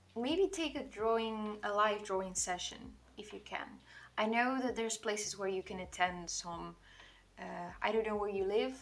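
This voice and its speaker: This woman has a Portuguese accent. Her pitch sits fairly high. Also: ordinary pitch variation, moderate pace. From Portugal. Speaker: digital artist streamer. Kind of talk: casual livestream chat while drawing. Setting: livestream.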